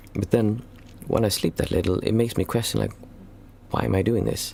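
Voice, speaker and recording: A man's very deep, low voice moves through very wide pitch swings. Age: 40s. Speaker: meditation teacher. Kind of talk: Q&A livestream. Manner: halting.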